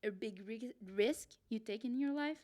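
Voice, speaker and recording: This woman speaks with a French Canadian accent. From Quebec City, Canada. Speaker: podcast co-host, solo traveler. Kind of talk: casual chat.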